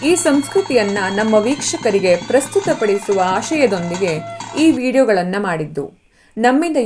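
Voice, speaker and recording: A woman speaks with a fairly high pitch and very wide swings in pitch. Music plays in the background. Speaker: voice-over artist. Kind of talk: travel documentary narration.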